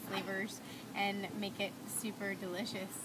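A woman speaks over loud background noise. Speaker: interviewee. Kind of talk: interview answer. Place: cafe. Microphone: camera far.

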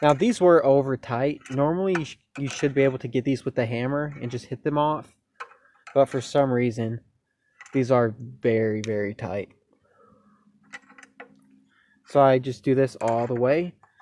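The speech moves at a moderate pace with long, frequent pauses. The sound is dry with no echo. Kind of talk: tutorial. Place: open country. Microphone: phone near.

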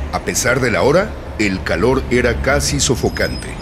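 The background noise is noticeable. A man talks with very wide pitch swings. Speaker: radio drama narrator. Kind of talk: horror story narration for radio. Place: studio.

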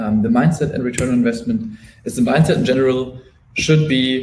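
A man talks at a fairly quick pace with a medium pitch, ordinary pitch variation and a somewhat breathy voice. Light background noise and audible room echo are present. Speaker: restaurant marketing specialist; presenter. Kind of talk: webinar presentation. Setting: live webinar. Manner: fast. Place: home room.

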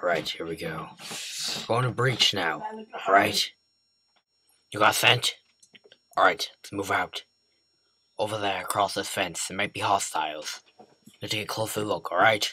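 Using a put-on character voice, a man talks in a raspy, fairly low register at a moderate pace, leaving long, frequent pauses. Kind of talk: comedic gameplay commentary in character. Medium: role play.

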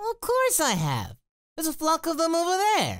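At an extremely high pitch, the speaker performs a put-on character voice. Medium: dub. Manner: upbeat, excited.

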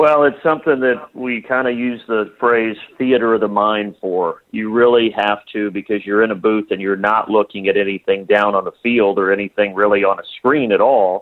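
This is a normal speaking voice with ordinary pitch variation. The pace is moderate. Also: man, fairly low pitch for a man. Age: 30s. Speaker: play-by-play announcer. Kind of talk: interview.

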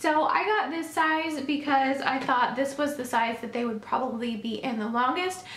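The voice has an American accent and a moderate pace with hardly any pauses. Noticeable background noise runs underneath. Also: woman, high pitch for a woman, ordinary pitch variation. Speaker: lifestyle YouTuber, mother. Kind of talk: product haul video.

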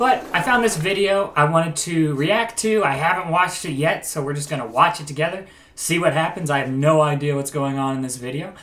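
With an American accent and a fairly high pitch, a man talks at a fairly quick pace with hardly any pauses and ordinary pitch variation over noticeable background noise. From US Midwest. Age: 20s. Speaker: YouTuber, comedian. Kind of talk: reaction video commentary.

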